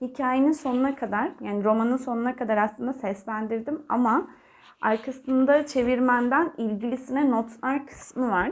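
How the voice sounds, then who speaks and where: Here a woman speaks with a high pitch. The recording is very clean, with a silent background. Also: ordinary pitch variation, moderate pace. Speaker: audiobook narrator and book vlogger. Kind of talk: casual vlog talk to camera. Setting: talking to camera. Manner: more filler sounds than usual.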